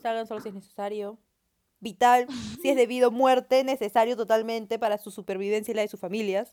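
A woman with a plain, everyday voice talks at a fairly quick pace, her fairly high pitch held in fairly even intonation. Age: young. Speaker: podcast co-host, university student. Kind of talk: casual chat.

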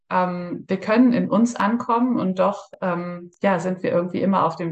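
With a plain, everyday voice, a woman speaks at a moderate pace and fairly low pitch, showing ordinary pitch variation. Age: 30s. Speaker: breathwork practitioner, former police officer. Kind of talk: interview.

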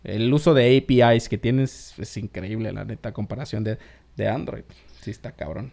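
A man talks at a moderate pace with vocal fry and a dark, mellow tone. His loudness swings widely. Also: medium pitch for a man, ordinary pitch variation. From Mexico, Oaxaca, Isthmus of Tehuantepec. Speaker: podcast host. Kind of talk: casual chat.

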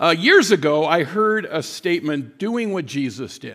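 Recorded very cleanly against a silent background, a man with a normal speaking voice talks at a fairly slow pace with lively intonation. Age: 60s. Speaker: guest pastor. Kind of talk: sermon. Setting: church.

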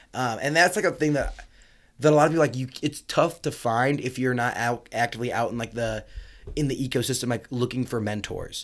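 A man with a Midwestern American accent talks at a fairly quick pace in a medium pitch, his pitch varying in an ordinary way, on a very clean recording with a silent background. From rural northern Indiana. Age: 20s. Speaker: entrepreneur. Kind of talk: casual interview chat. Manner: filler-heavy, animated.

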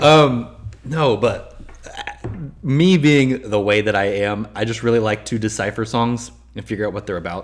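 Someone with an American accent talks at a moderate pace with ordinary pitch variation. Noticeable background noise runs underneath. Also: man, medium pitch for a man. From Texas. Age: 20s. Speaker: music podcast guest. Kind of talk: casual chat.

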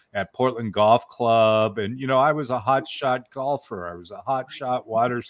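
A man speaks at a fairly slow pace with fairly even intonation. His is a plain, everyday voice. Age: 60s. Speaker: author and story coach. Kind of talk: casual chat.

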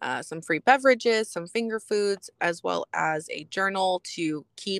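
A woman with an American accent speaks in a plain, everyday voice at a moderate pace with ordinary pitch variation, in a very clean recording with a silent background and a dry, close sound with no echo. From Texas, San Antonio. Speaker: life coach. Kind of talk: interview.

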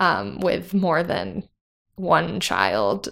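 Speaking very slowly with an American accent, a woman is heard on a very clean recording with a silent background. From US suburbs. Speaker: operations worker, environmental studies graduate. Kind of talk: casual interview.

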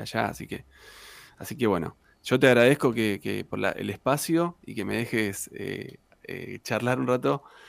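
A man speaks with a medium pitch and ordinary pitch variation. Vocal fry comes through in his voice. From Argentina, Santa Cruz (Patagonia). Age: 40s. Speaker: tango singer and guitarist. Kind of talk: casual interview chat.

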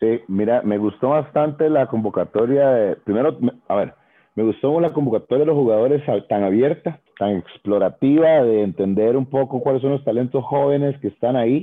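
An unremarkable speaking voice: a man at medium pitch, with ordinary pitch variation, very even loudness and a moderate pace. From Costa Rica, Tres Ríos. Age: 40s. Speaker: former basketball player and commentator. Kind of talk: casual interview chat.

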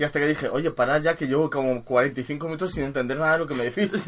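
Very fast, animated speech from a man with ordinary pitch variation. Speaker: podcast co-host. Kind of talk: casual chat.

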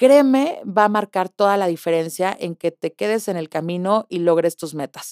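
In a very clean, dry, close recording with a silent background and no echo, a woman speaks at a medium pitch and a moderate pace in an animated tone, with ordinary pitch variation and hardly any pauses. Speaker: podcast host, sales coach. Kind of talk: motivational monologue.

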